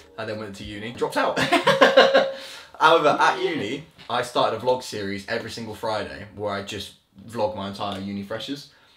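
A man talks at a fairly quick pace with big swings in loudness. Audible room echo and light background noise sit behind him. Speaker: guest. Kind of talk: interview answer. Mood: relaxed, jokey storytelling. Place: home room.

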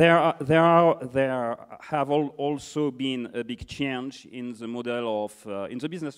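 Against a quiet background, a man with a French accent talks fairly slowly with ordinary pitch variation. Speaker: conference moderator; interviewer, event host. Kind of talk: on-stage interview. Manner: halting. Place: stage. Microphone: handheld.

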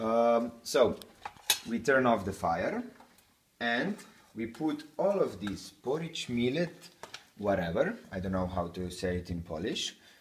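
Audible room echo surrounds a man who speaks at a fairly slow pace with medium pitch and big pitch swings.

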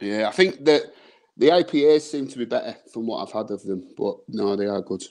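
A man speaks in a northern English accent with very wide pitch swings. His loudness swings widely against a quiet background. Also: moderate pace. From northern England. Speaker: beer reviewer. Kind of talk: casual chat. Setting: video call. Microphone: video call.

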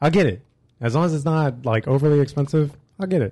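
A somewhat breathy voice with a dark, mellow tone and an American accent, heard over a quiet background. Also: man. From Illinois, Springfield area. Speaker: podcast co-host. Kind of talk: casual chat. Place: studio.

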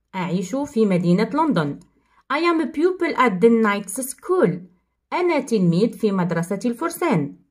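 Slowly, though not very, a woman with an Algerian accent speaks in a fairly high pitch that swings very widely. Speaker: English teacher. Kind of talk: tutorial.

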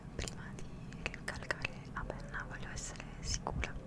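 At a very slow pace, a woman speaks. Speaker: university student. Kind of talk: casual talk to camera, ASMR vlog. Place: home room. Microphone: studio mic.

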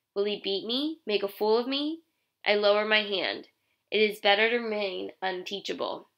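Ordinary pitch variation in an unforced reading voice against a quiet background

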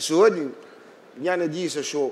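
Over light background noise, a man talks at a moderate pace in a fairly high pitch. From Morocco. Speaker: architect; speaker. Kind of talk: panel talk. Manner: halting. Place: hall. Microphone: headset.

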